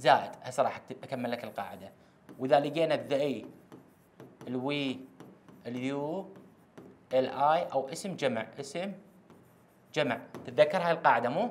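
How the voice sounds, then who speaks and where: Speaking with an Iraqi accent, a man with a fairly high voice goes at a fairly slow pace, leaving long, frequent pauses and using ordinary pitch variation. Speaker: English teacher; teacher. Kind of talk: lecture. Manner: repetitive, emphatic. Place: classroom. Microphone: lapel.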